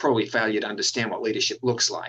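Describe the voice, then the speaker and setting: A man speaks with an Australian accent. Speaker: university dean. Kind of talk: interview. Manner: frequent filler words.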